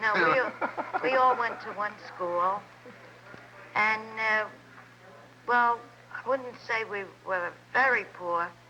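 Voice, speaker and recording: Speaking very slowly with long, frequent pauses, a woman with an American accent uses a fairly high pitch and ordinary pitch variation. Noticeable background noise sits behind her. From Hoboken, New Jersey. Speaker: local resident interviewee. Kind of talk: casual family reminiscing interview. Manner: halting.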